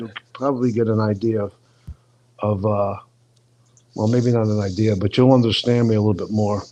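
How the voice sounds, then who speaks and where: At a moderate pace, the speaker talks with a New York accent. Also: man. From US Northeast, Brooklyn New York. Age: 60s. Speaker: personal trainer. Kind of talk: casual chat.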